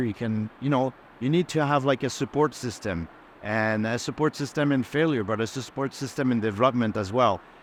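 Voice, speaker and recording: A man with a Quebec accent, medium pitch, ordinary pitch variation and a fairly quick pace. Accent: French Canadian accent in English. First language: French. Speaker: game art director. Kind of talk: panel discussion. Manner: halting, many repetitions.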